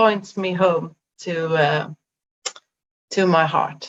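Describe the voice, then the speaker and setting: A woman is speaking. She has a Swedish accent. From Sweden. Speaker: life coach. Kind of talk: interview conversation. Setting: video call. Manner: halting, many fillers.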